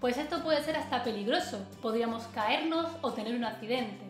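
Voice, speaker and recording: A woman speaks at a moderate pace with a high pitch. Audible room echo and clear music fill the background. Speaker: dog trainer. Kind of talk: tutorial. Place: home room.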